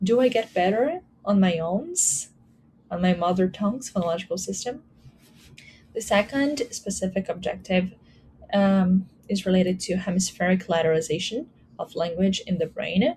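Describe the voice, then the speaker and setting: A woman speaks at a moderate pace with a medium pitch and ordinary pitch variation. Her tone is dark, mellow and somewhat breathy, broken by long, frequent pauses. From Brazil. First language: Portuguese. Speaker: academic researcher presenting a paper. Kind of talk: conference presentation. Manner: some hesitations and fillers.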